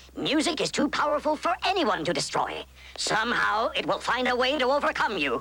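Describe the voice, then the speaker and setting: Putting on a cartoonish character voice, a man speaks at an extremely high pitch with lively intonation over light background noise. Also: fairly quick pace. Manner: calm, authoritative.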